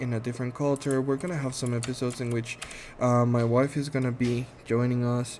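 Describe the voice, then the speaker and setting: Speaking in a Spanish accent, a man talks at a fairly quick pace and medium pitch with a monotone, flat intonation. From Guatemala. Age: 30s. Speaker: podcast host, medical assistant. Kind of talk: casual monologue introduction. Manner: halting, many fillers.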